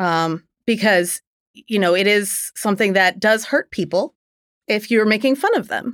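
A woman with an American accent speaks at a medium pitch with ordinary pitch variation, in a very clean recording with a silent background and a dry, close sound with no echo. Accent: mild Philadelphia accent, mostly trained out. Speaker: litigant, daughter in family dispute. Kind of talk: casual chat. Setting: recording studio.

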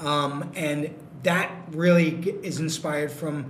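A man talks with a New York accent. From New York City. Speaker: brewery co-founder. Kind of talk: casual chat. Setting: brewery tap room, remote mic.

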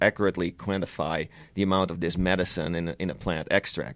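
Speaking fairly quickly with a Dutch accent, a man has a very deep, low pitch. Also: very clean recording, silent background. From Netherlands. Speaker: cannabis lab scientist. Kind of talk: interview.

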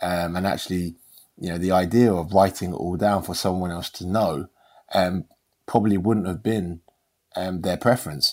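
Over a very clean recording with a silent background, a man with a London accent and a very deep, low voice speaks at a moderate pace with fairly even intonation and long, frequent pauses. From London, England. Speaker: chef. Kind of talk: casual chat. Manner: halting.

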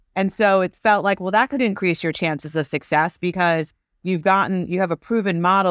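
Recorded with a dry, close sound with no echo against a quiet background, a woman speaks in an ordinary speaking voice at a fairly quick pace with ordinary pitch variation. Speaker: cannabis company co-founder. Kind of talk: casual interview chat.

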